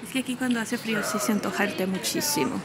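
A woman with a fairly high voice speaks with lively intonation, accompanied by audible room echo and noticeable background noise. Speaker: travel vlogger. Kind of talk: walking tour vlog. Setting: outdoors walking in city.

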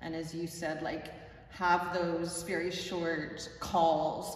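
In a room with audible echo and light background noise, a woman speaks at a fairly low pitch. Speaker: teacher describing a workshop. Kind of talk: interview answer. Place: classroom. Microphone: camera far.

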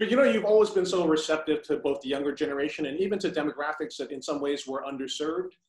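A man's fairly high voice at a very fast pace with hardly any pauses, against a quiet background with audible room echo. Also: ordinary pitch variation. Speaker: magazine founder; interviewer. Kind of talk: casual interview. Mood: warm, admiring. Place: home room. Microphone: poor sound; video call.

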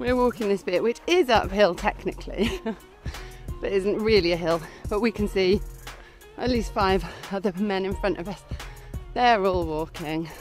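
A woman speaks at a moderate pace with ordinary pitch variation and long, frequent pauses. Faint music plays in the background of a dry sound with no echo. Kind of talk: casual vlog chat. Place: open country. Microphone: phone near.

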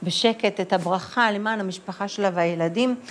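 The speaker is a woman with a medium pitch. It moves with ordinary variation. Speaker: author and community activist; news guest. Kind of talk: interview. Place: studio. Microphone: lapel.

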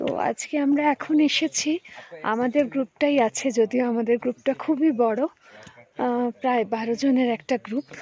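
A woman's high-pitched voice, dry and close with no echo. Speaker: trek group member. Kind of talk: travel vlog commentary. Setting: outdoors in forest.

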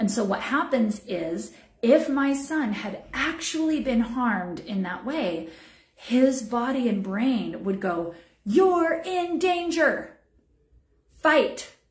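Against a quiet background with audible room echo, a high-pitched woman speaks at a very slow pace with lively intonation. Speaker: wellness program director and massage therapist; wellness teacher. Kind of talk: online teaching. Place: home room. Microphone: phone near.

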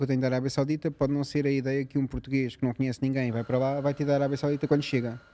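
A man with a dark, mellow tone at a very fast pace. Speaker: podcast guest. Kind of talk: interview answer. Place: home room. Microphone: studio mic.

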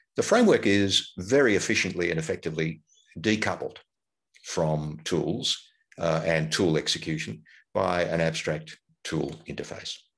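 A man speaks at a moderate pace over a quiet background. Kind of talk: lecture.

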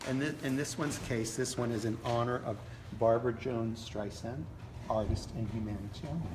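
Noticeable background noise sits behind a man talking fairly quickly at a medium pitch. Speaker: doll collector and event organizer. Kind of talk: casual interview on live video. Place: hall. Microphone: phone near.

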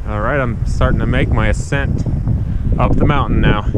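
A man's voice in dry, echo-free sound under loud background noise. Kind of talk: casual vlog narration. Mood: awed, upbeat. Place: open country. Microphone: phone near.

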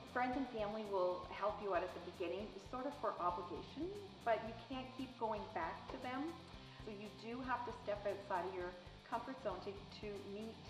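A woman at a moderate pace with clear music in the background. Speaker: sales business owner. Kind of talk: interview answer. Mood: warm, reflective, sometimes laughing. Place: home room. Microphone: lapel.

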